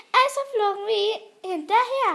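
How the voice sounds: A put-on character voice with a bright, sharp tone and lively intonation. Vocal fry creeps in here and there. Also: woman.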